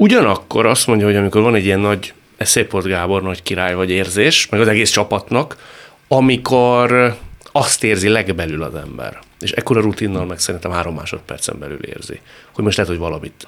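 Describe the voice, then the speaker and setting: A man talks at a very fast pace in a fairly low pitch, with ordinary pitch variation. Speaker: radio talk show host. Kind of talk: interview. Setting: radio studio. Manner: formal.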